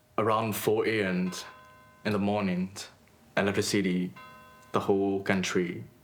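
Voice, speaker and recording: With music in the background, a man speaks at a moderate pace. He has a fairly low voice with a Burmese accent. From Myanmar (Rangoon). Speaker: artist. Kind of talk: documentary interview. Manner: halting, with hesitations.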